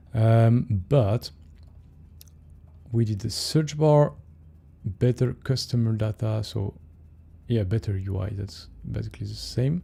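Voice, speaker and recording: A man with a French accent talks at a fairly slow pace with long, frequent pauses, his dark, mellow, somewhat breathy voice sitting at medium pitch with ordinary pitch variation. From France. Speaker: software developer streamer. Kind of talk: casual live stream coding chat. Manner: hesitant, many fillers.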